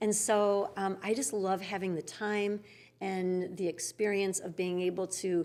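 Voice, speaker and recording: A woman with a plain, everyday voice, medium pitch, fairly even intonation and a fairly slow pace, on a very clean recording with a silent background. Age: 60s. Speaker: yoga studio founder. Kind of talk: interview conversation.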